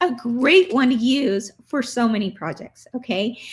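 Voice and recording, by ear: A woman in a hoarse, put-on character voice, high in pitch, with lively intonation at a moderate pace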